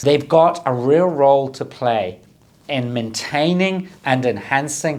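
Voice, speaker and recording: The man speaks at a fairly slow pace with ordinary pitch variation. Audible room echo surrounds his voice. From southern Scotland. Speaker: government minister. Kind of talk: prepared conference speech. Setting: recorded video address.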